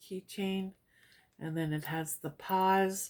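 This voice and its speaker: A woman at a fairly slow pace with fairly even intonation, in a very clean recording over a silent background. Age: 50s. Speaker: lifestyle vlogger. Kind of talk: product haul review. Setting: at home. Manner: casual, chatty with fillers.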